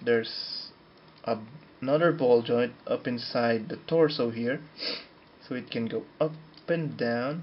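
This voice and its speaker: Over noticeable background noise, a man speaks at a fairly slow pace with long, frequent pauses. His pitch is medium, with ordinary variation. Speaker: model kit reviewer. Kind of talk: product review talk to camera.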